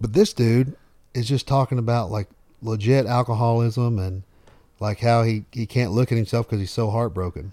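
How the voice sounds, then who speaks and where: With a Southern US accent, a man speaks at a moderate pace and medium pitch in a dark, mellow tone with fairly even intonation, dry and close with no echo, on a very clean recording over a silent background. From US South. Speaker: radio host and country music artist. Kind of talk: casual chat. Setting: home, on a couch.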